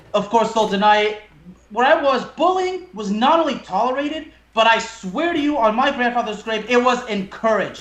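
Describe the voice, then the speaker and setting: A man speaks with an extremely high pitch and ordinary pitch variation at a moderate pace. His voice has audible room echo. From France. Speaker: podcast host. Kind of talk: casual chat.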